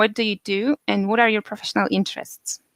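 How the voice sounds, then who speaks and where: Recorded with a dry, close sound and no echo, a woman speaks at a fairly high pitch in a Polish accent. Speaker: podcast host. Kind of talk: interview; scripted podcast intro.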